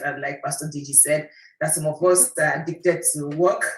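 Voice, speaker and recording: With a Nigerian accent, a woman talks in a very deep, low pitch and a monotone, flat intonation. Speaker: accountant and wellness practitioner. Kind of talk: panel guest introduction.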